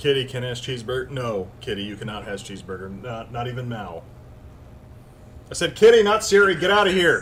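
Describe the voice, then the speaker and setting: A man speaks loudly and fairly quickly at a medium pitch, with very wide pitch swings. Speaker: live streamer. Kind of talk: casual chat.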